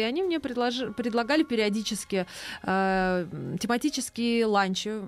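A woman speaks in an ordinary speaking voice. Her pitch varies in an ordinary way. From Moscow. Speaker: chef and cafe owner. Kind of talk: casual chat.

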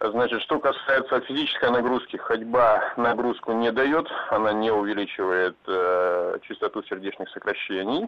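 There is noticeable background noise behind this man. He talks at a moderate pace, medium in pitch with ordinary pitch variation. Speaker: caller. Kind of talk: call-in radio chat. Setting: phone call.

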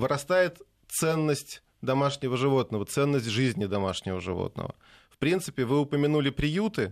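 A man with an unremarkable speaking voice, pitched fairly high, talks at a moderate pace with lively intonation. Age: 40s. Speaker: pet food industry executive. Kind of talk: radio talk show interview.

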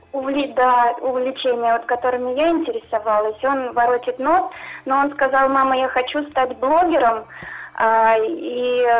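Music plays in the background as a woman talks at a moderate pace and a high pitch with fairly even intonation. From Russia, Kostroma region, rural. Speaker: caller. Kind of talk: phone-in storytelling. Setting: phone call.

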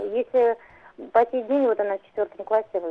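A woman's voice with a fairly high pitch. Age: 50s. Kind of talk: phone-in question. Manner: halting.

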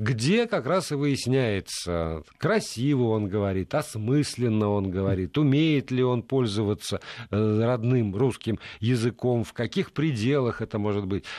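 Over a quiet background, a man with a medium pitch and a dark, mellow tone speaks at a fairly slow pace with lively intonation. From Middle Urals, Russia. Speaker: radio host. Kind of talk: radio talk show. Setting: radio studio.

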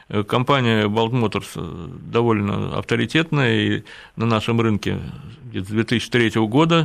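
Against a quiet background, a man speaks at a very slow pace and medium pitch with lively intonation. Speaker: motorcycle journalist and engineer. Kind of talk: radio interview.

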